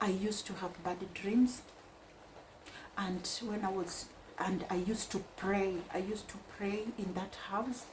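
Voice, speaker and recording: A woman speaks at a fairly slow pace. Audible room echo and noticeable background noise fill the recording. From Kenya (Mombasa). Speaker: vlogger. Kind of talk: casual personal storytelling.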